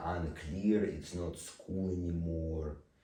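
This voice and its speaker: At a very slow pace, a man speaks with a very deep, low pitch and a dark, mellow tone, somewhat breathy, with audible room echo. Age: 20s. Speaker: vlogger. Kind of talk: personal monologue. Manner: slow speaking.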